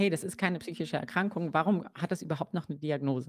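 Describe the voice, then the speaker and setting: A woman's fairly low voice at a very fast pace, dry and close with no echo, on a very clean recording with a silent background. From Germany, Kassel (Hesse). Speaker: psychologist. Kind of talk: interview on a livestream. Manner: hesitant, many fillers.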